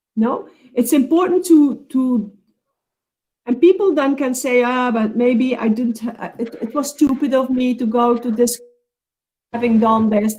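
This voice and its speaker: A non-native accent with ordinary pitch variation. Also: woman. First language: not English. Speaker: counselling expert speaker. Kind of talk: webinar Q&A answer. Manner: halting.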